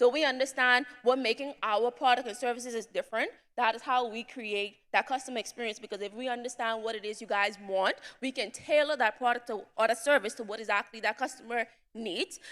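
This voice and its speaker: On a very clean recording with a silent background, a woman speaks at a fairly quick pace in a fairly high pitch, her intonation fairly even but with big swings in loudness. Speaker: entrepreneur, summit attendee. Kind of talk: presentation to audience. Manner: fast.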